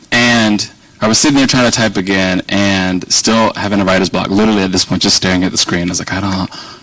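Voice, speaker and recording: A man with an American accent talks very fast at a fairly low pitch, keeping his intonation fairly even over noticeable background noise. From Virginia, US South. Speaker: policy organization director, guest speaker. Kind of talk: speech to an audience. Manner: conversational, rambling.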